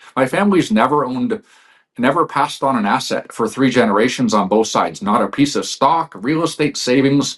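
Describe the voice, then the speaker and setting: A man speaks at a fairly quick pace. His pitch is fairly high, and he has an unremarkable speaking voice. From Canada. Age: 40s. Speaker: financial expert. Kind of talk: interview.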